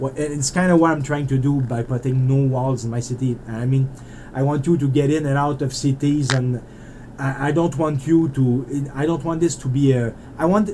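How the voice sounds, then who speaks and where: With a Canadian French accent, a man speaks at a moderate pace and a medium pitch. His pitch varies in an ordinary way, and there is noticeable background noise. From French Canada (Quebec). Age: 40s. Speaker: indie game developer. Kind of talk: casual monologue while playing. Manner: rambling, hesitant with repetitions.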